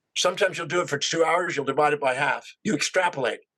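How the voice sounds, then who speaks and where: A bright, sharp tone at a very fast pace. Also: man. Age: 60s. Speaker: self-help speaker. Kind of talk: interview.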